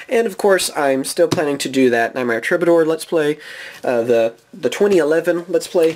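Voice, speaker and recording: There is noticeable background noise behind this man. His voice is fairly high, with lively intonation. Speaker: gaming YouTuber. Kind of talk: card pack opening video. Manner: casual, rambling with fillers.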